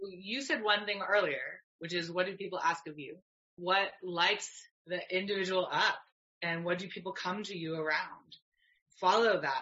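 A woman with a Canadian accent and a normal speaking voice talks at a medium pitch and moderate pace, with ordinary pitch variation and big swings in loudness. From Canada. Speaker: yoga teacher and herbalist. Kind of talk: casual interview chat.

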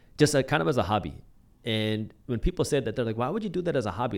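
Very fast, lively speech from a man at a medium pitch. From United States. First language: Punjabi. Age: early 30s. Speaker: YouTuber and entrepreneur. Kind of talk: casual interview. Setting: studio.

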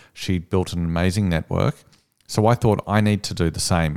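Very deep and low, a man with an Australian accent speaks at a fairly quick pace with ordinary pitch variation, in a dry, close sound with no echo on a very clean recording with a silent background. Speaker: copywriting agency owner, former journalist. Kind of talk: interview conversation.

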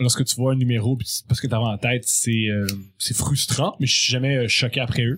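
This man talks at a moderate pace in a somewhat breathy voice, keeping his intonation fairly even. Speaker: comedy writer. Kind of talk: casual chat.

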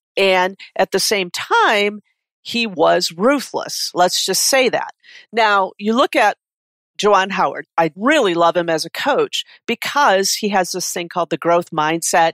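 Very cleanly recorded over a silent background, with a dry, close sound and no echo, a woman with a Midwestern American accent speaks fairly slowly at a medium pitch with lively intonation. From Detroit area, Michigan. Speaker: executive coach. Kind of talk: interview.

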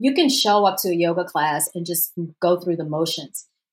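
A woman with an American accent in a normal speaking voice, her intonation lively and her pace moderate. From US South, Louisiana. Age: 40s. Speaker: yoga and meditation teacher. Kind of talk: interview.

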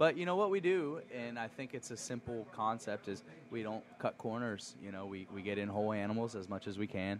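In an ordinary speaking voice, a man talks at a fairly quick pace with lively intonation and hardly any pauses. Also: medium pitch for a man. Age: 30s. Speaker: chef and restaurant owner. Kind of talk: casual chat. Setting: restaurant.

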